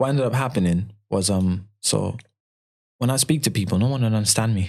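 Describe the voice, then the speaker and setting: Talking at a fairly quick pace, a man with a London accent keeps a fairly low pitch. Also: ordinary pitch variation, very even loudness. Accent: a bit London. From Malawi, then UK (London, later northern England). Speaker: rapper. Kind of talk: interview.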